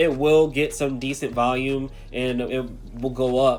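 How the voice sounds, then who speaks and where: Over music in the background, the speaker uses fairly even intonation. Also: man. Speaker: crypto youtuber. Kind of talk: casual market commentary. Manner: halting, many fillers.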